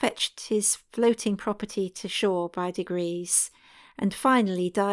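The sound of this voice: This is an unforced reading voice. It is delivered as an unforced reading voice throughout.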